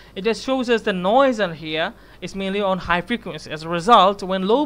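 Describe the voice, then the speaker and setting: A man with a Bengali accent speaks at a moderate pace. His voice is high-pitched, with ordinary pitch variation. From Bangladesh. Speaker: university student. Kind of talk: class project presentation; project presentation. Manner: halting, many fillers. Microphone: webcam.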